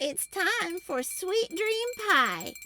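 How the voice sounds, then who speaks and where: A woman puts on a character voice at an extremely high pitch, with very wide pitch swings. Music plays in the background. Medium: read story. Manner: cautioning, motherly.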